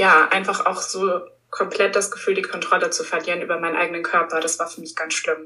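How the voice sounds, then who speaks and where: This woman's delivery moves fairly quickly. Her volume rises and falls in big swings. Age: 20s. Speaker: stress coach. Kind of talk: interview.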